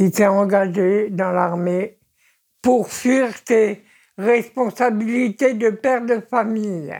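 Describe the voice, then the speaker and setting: A woman's fairly high voice with a dark, mellow tone, ordinary pitch variation, very even loudness and a very slow pace, on a very clean recording with a silent background. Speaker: retiree, yellow vest supporter. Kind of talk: casual interview.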